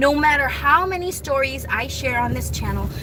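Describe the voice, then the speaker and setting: Audible room echo colors this recording. A woman talks amid noticeable background noise. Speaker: vlogger. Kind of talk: casual monologue. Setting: in a car. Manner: rambling with self-corrections.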